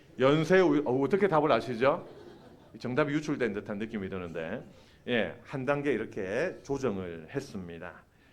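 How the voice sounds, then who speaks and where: With audible room echo, a man at medium pitch uses vocal fry and very wide pitch swings. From Busan, South Korea. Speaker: preacher and seminary professor. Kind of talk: sermon. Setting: church. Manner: animated, engaging the congregation.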